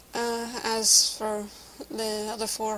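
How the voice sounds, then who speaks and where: In a Scottish accent, a woman speaks with monotone, flat intonation. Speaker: vlogger. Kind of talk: casual vlog monologue. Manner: halting.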